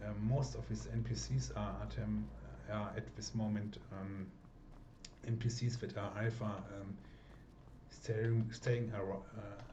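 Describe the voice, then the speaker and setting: With a German accent, a man speaks at a fairly low pitch and a very slow pace, with long, frequent pauses, very wide pitch swings and audible room echo. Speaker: mod creator and gameplay video maker. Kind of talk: casual gameplay commentary. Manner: halting, many fillers.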